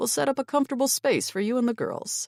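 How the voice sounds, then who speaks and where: Putting on a character voice, a woman talks very fast at a high pitch. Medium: read story. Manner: friendly, reassuring.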